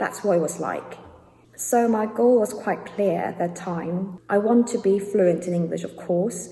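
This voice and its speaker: With a British accent, a woman speaks at a fairly slow pace and a medium pitch, using ordinary pitch variation against noticeable background noise. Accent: British English, learned. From South Korea. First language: Korean. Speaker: YouTuber. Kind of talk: casual vlog talk.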